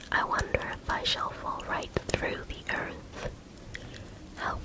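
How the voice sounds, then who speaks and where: The speech is a whisper at a very slow pace. Noticeable background noise accompanies it. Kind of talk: whispered audiobook reading of a classic story. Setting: ASMR recording with close microphone, ear to ear. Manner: whispered, soft, relaxing.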